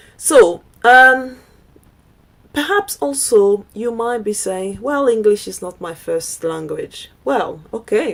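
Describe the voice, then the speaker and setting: A woman talks very slowly, noticeable background noise audible throughout. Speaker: digital marketing coach. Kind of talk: online course presentation. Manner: hesitant with fillers.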